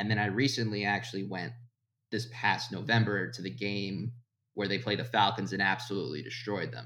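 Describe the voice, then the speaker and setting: A man's fairly low voice with vocal fry and an American accent, lively intonation at a moderate pace, plus audible room echo. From Florida. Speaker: sports writer. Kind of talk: casual chat.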